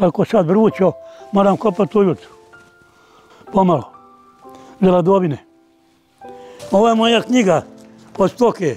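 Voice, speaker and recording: At a moderate pace with long, frequent pauses, a man speaks in a high pitch with ordinary pitch variation as faint music plays in the background. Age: 80s+. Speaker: farmer and bull breeder. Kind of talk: interview answer.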